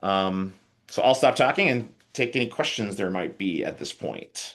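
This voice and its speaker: Against a quiet background, a man with a medium pitch talks using lively intonation. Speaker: IT conference presenter. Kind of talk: technical presentation with live demo. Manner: fast.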